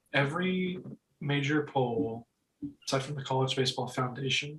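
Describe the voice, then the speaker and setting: With an unremarkable speaking voice, a man of fairly high pitch talks at a moderate pace and with fairly even intonation. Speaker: college baseball podcast host. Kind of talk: casual chat.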